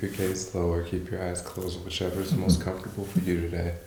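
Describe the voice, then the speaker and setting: A man with a very deep, low voice talks at a very fast pace over noticeable background noise. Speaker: yoga instructor. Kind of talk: guided yoga practice.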